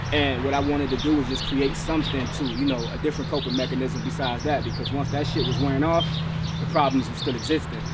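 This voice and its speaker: Amid noticeable background noise and audible room echo, a man with a fairly high voice races along at a very fast pace with fairly even intonation. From Cleveland, Ohio, US. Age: 30s. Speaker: community mental health service founder. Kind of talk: documentary interview. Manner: casual, conversational.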